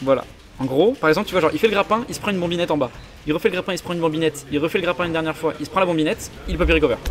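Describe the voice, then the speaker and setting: With music in the background, a man speaks at a very fast pace in a high voice with ordinary pitch variation. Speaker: esports commentator. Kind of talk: live commentary.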